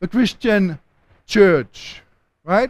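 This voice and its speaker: A man talks in a high voice with a German accent. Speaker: theology lecturer. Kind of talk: lecture.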